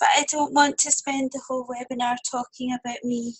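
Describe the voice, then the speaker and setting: The woman's voice sits high in pitch. Her intonation stays monotone and flat. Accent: Scottish. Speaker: copywriter for coaches. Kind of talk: webinar presentation. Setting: webinar.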